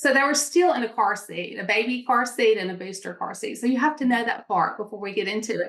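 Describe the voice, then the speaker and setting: A woman's very fast, fairly high-pitched talk in a Mississippi accent, lively in intonation with hardly any pauses. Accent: Southern US (Mississippi). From Mississippi, US South. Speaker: entrepreneur. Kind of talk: interview storytelling. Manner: animated.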